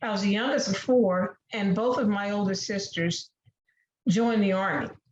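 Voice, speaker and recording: A somewhat breathy woman's voice at medium pitch with ordinary pitch variation. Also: moderate pace. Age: 60s. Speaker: debate panelist. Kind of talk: prepared debate speech.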